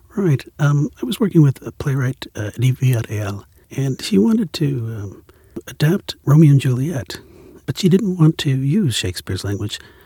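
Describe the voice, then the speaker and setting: In a dry, close recording with no echo, a man with an American accent speaks at a moderate pace in a fairly high pitch, his dark, mellow tone somewhat breathy and swinging very widely in pitch. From Central California. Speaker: playwright and director. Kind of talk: interview. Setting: studio. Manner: halting.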